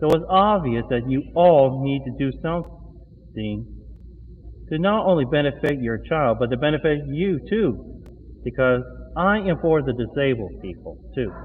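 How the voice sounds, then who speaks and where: A man speaks at a fairly slow pace. His voice sits fairly high, with lively intonation. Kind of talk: live monologue vlog. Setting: walking around a mall. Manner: halting.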